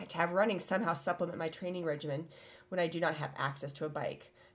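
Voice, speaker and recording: A woman with a Midwestern American accent speaks with ordinary pitch variation. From US Midwest. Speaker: podcast co-host. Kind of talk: casual chat. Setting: studio.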